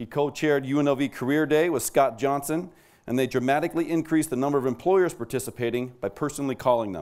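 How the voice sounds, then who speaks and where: Ordinary pitch variation from a man talking at a fairly quick pace. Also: quiet background. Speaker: awards ceremony presenter. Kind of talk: award presentation speech. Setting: stage with audience. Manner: formal. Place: hall. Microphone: podium.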